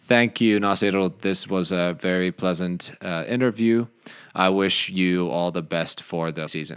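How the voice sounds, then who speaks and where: In a very clean recording with a silent background, a man with a Finnish accent speaks at a very deep, low pitch. His pace is fairly slow and his intonation fairly even. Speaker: podcast host. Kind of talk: scripted intro; interview. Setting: studio.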